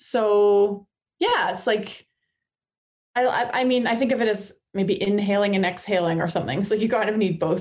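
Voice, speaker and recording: At a moderate pace, a woman talks in an ordinary speaking voice with medium pitch, ordinary pitch variation and very even loudness. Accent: Canadian. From Ottawa, Canada. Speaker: explorer and author. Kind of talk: interview.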